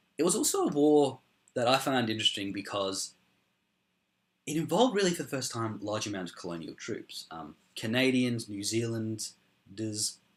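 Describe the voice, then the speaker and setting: Lively intonation marks this voice with an Australian accent. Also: man. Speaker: history youtuber. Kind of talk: casual explainer talk. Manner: hesitant, many ums.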